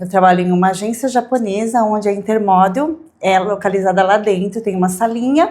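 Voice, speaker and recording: Her pitch varies in an ordinary way as this woman talks at a medium pitch. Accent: São Paulo. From Brazil, São Paulo area (Santo André). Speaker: modeling agency representative. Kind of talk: interview.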